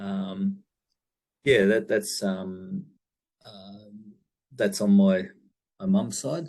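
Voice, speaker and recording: Big swings in loudness mark a man's very slow delivery, broken by long, frequent pauses. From Far North Queensland, Australia (Cairns). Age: 60s. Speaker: business owner. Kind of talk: interview. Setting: video call. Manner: halting, many fillers.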